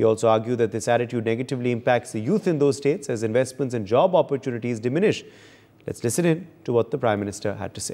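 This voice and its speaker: At a very fast pace, a man speaks in a dark, mellow tone at medium pitch with ordinary pitch variation. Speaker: news anchor. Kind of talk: news reading, crisp scripted summary before a rally clip. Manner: formal, steady, measured. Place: studio.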